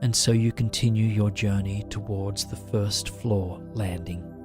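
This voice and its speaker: Music plays in the background as a man speaks very slowly in a calm, soothing tone with fairly even intonation. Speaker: guided sleep meditation narrator. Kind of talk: guided sleep meditation. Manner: slow, calm, soothing.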